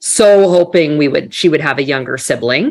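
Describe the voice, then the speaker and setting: Music plays in the background as a woman speaks. She has a slight Canadian accent and ordinary pitch variation. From Canada. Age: 40s. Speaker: business executive. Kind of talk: interview conversation.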